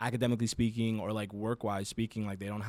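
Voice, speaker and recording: Speaking very fast in a monotone with flat intonation, a man with an American accent uses a fairly low pitch on a very clean recording with a silent background. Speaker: podcast co-host, education worker. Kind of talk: casual podcast chat. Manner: loud.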